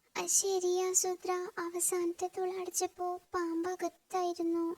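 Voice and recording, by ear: A cartoonish character voice at an extremely high pitch delivers its lines very slowly in a monotone, flat intonation.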